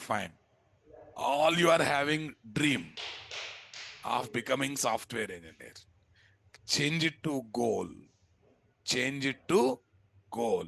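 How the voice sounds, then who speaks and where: Speaking very slowly with long, frequent pauses, a man uses a medium pitch, vocal fry and lively intonation. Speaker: programming instructor. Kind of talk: lecture. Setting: classroom with online students.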